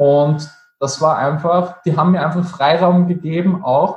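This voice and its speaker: A man speaks with fairly even intonation. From Austria, Vienna. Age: 30s. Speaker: network marketing entrepreneur, former chef. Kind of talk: interview. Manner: halting.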